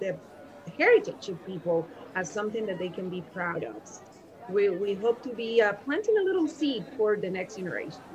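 Noticeable background noise sits behind a woman speaking at a moderate pace and medium pitch. Her tone is enthusiastic, with lively intonation and big swings in loudness. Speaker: education professor and consultant. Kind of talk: interview.

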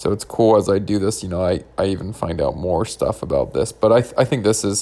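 A man speaks at a fairly quick pace in an ordinary speaking voice, his fairly low pitch showing ordinary pitch variation. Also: very clean recording, silent background. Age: 20s. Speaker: podcast host, pre-dental student. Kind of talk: solo podcast monologue.

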